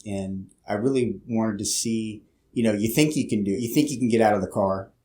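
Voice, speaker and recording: A man with a Pennsylvania accent talks at a fairly low pitch. His pace is fairly quick, with ordinary pitch variation. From Louisiana, then Philadelphia. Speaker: police officer. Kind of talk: casual interview. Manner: halting, many fillers.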